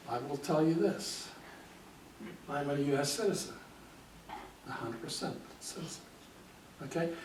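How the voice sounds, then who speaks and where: The speech moves at a moderate pace with ordinary pitch variation, broken by long, frequent pauses. Audible room echo and noticeable background noise fill the recording. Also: man, fairly high pitch for a man. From US (born in Hungary, emigrated as a child). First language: Hungarian. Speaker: guest speaker. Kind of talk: talk to a library audience. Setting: library event with audience.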